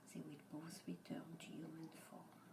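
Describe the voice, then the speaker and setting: Whispering at a very slow pace, a woman speaks in a French accent. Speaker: ASMR storyteller. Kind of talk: bedtime story reading. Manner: soft, whispered.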